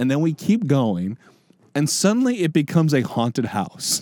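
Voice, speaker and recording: Noticeable background noise accompanies a man speaking at a moderate pace, his fairly high pitch moving in very wide swings. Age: 20s. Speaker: podcast co-host. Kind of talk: casual chat.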